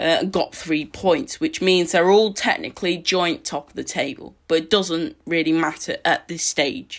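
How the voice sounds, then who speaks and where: A woman with an English accent, fairly low-pitched, lively in intonation, on a very clean recording with a silent background. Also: moderate pace. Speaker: football podcaster. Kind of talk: solo match preview podcast. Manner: halting, many fillers.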